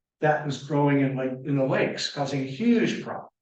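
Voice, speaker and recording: With audible room echo around him, a man speaks with an American accent at a fairly quick pace. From Michigan, Muskegon area. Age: 70s. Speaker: environmental consultant. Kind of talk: lecture. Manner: halting.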